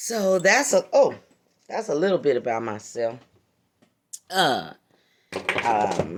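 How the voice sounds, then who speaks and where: With an American accent, a woman at a fairly low pitch speaks at a very slow pace, her pitch swinging very widely between long, frequent pauses. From San Francisco Bay Area, California. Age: 50s. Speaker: crafter vlogger. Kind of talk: casual chat. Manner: halting.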